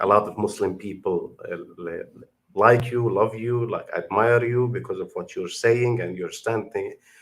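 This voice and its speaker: A man with an Arabic accent at a moderate pace. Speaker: YouTube commentator. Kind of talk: video reaction commentary. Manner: halting.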